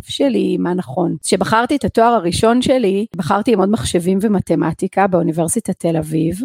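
Lively intonation and a dark, mellow tone come through in a dry, close sound with no echo. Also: woman. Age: 40s. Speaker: podcast host and personal coach. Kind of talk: personal monologue podcast.

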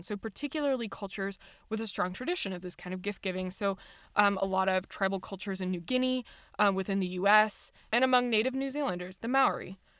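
In a very clean recording with a silent background, a woman with an American accent speaks at a very fast pace in a medium pitch, with ordinary pitch variation and big swings in loudness. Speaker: podcast host. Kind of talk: casual chat.

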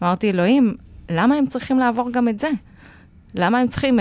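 A woman talks at a fairly quick pace with lively intonation. It is an ordinary speaking voice. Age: 40s. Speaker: podcast co-host, lecturer and writer. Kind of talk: casual chat.

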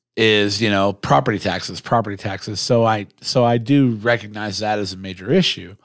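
A man with an American accent and an unremarkable speaking voice talks at a fairly quick pace with hardly any pauses, his fairly low pitch held in fairly even intonation on a very clean recording with a silent background. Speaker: podcast host and mayoral candidate. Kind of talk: casual chat. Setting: studio. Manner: casual, joking, profane.

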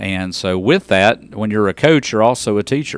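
Fairly quick speech from a man in a Southern US accent. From West Tennessee. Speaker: school district superintendent. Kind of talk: interview. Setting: studio.

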